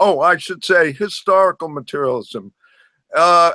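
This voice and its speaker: A man with an American accent uses a raised, projected voice with a bright, sharp tone and lively intonation, recorded dry and close with no echo. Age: 70s. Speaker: retired professor and activist. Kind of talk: personal introduction at a discussion group. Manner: halting.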